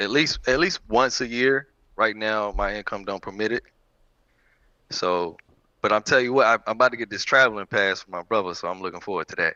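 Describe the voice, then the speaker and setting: A man with an unremarkable speaking voice talks at a fairly quick pace, his fairly low pitch showing ordinary variation and his loudness swinging widely. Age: 30s. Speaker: single on a dating show. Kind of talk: casual interview.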